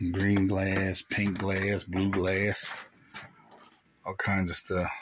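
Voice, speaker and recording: Over noticeable background noise, a man speaks in a very deep, low pitch with monotone, flat intonation and a dry sound with no echo. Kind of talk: casual vlog chat. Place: shop. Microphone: phone near.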